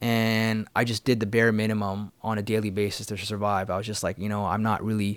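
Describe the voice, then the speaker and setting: With a Canadian accent, a man speaks in a fairly low, monotone voice with flat intonation. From Canada, Vancouver. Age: 40s. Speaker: yoga teacher. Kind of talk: casual interview chat. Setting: studio.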